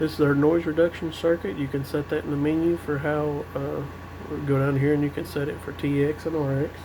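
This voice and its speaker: Quiet and fairly high-pitched, a man talks at a fairly quick pace in a monotone, flat way over noticeable background noise. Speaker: CB radio hobbyist reviewer. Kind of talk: tutorial. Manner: quiet-spoken; casual.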